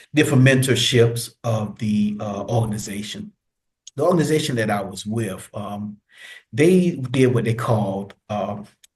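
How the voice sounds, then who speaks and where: Somewhat breathy and medium in pitch, a man's voice moves at a moderate pace with ordinary pitch variation. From US. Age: 50s. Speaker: retired military veteran and social work graduate. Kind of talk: casual interview.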